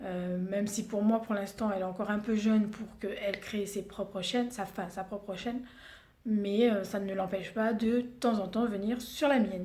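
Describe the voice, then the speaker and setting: In a Réunion accent, a woman speaks at a moderate pace with monotone, flat intonation, and audible room echo surrounds her voice. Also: medium pitch for a woman. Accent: Réunion Creole. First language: Réunion Creole (speaking French). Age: 30s. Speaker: beauty vlogger. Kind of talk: casual vlog introduction. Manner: hesitant, many fillers.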